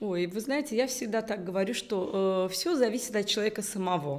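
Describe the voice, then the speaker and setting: Fairly high-pitched and lively in intonation, a woman is speaking. Her pace is fairly quick. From Uzbekistan, Tashkent; Uzbekistan. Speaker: business executive; interview guest. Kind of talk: interview. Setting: video call. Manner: halting. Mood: warm, animated. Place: studio.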